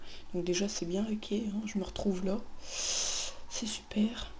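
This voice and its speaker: Heard through audible room echo and noticeable background noise, a woman speaks at a medium pitch with fairly even intonation. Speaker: gaming youtuber. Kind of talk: gameplay commentary. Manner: casual.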